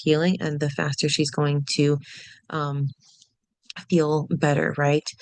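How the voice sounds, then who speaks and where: A woman with a very deep, low pitch speaks over a quiet background. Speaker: hypnobirthing childbirth educator. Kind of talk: recorded lecture for online course. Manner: frequent fillers, hesitant.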